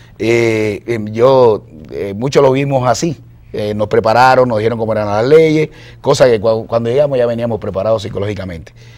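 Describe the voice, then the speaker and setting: This man keeps a moderate pace. The variation in his pitch is ordinary. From Cuba. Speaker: cartoonist and artist; guest. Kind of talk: interview. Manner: halting, many fillers. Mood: relaxed, smiling. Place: studio.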